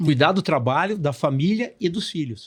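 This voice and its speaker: Lively intonation at a fairly slow pace is heard on a very clean recording with a silent background. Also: man. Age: 60s. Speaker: business mentor and speaker. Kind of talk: podcast interview.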